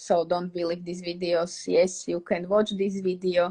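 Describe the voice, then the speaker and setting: A woman with a Slovak accent speaks in a fairly low pitch and a monotone, flat intonation. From Slovakia. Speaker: English teacher. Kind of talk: live stream Q&A. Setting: live stream on social media.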